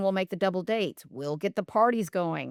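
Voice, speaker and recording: A woman's normal speaking voice with lively intonation at a moderate pace, dry and close with no echo, on a very clean recording with a silent background. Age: 50s. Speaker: nurse and functional medicine specialist. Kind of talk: casual interview chat.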